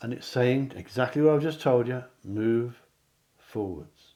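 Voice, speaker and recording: A man talks with an English accent. His pitch rises and falls in an ordinary way. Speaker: psychic card reader. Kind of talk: tarot-style pick a card reading to camera.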